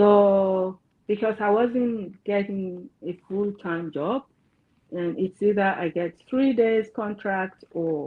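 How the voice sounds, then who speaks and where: Speech comes at a very slow pace with ordinary pitch variation, in a Yoruba accent. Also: woman. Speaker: counselor. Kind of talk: interview.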